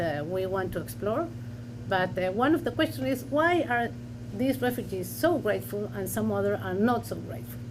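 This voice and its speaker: A woman talks at a moderate pace with a Spanish accent. Room echo can be heard. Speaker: historian. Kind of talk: academic panel discussion. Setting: university lecture with audience and Zoom. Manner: halting.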